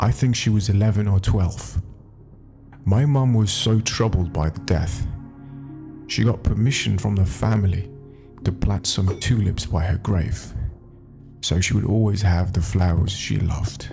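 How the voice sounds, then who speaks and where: Music in the background behind a man with a fairly low pitch, fairly slow pace, very even loudness, ordinary pitch variation and long, frequent pauses. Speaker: Reddit story narrator. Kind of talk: read story with commentary.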